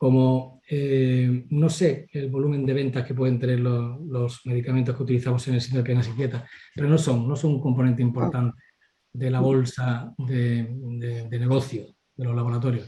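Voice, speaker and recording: Pitched at a medium level, a man's voice runs in a monotone with flat intonation. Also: moderate pace. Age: 60s. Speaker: family doctor. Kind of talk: interview.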